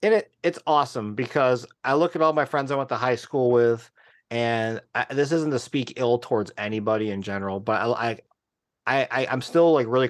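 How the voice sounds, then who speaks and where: A man with a medium pitch and ordinary pitch variation speaks at a moderate pace against a quiet background. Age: 30s. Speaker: sneaker company accounts manager and designer. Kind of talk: casual interview. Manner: animated.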